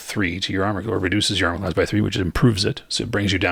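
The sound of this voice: With fairly even intonation, the speaker reads in an unforced voice.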